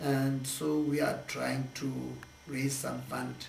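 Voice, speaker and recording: Music plays in the background behind a man's voice. Audible room echo colors the sound. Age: 60s. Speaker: charity project organizer. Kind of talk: interview. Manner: halting.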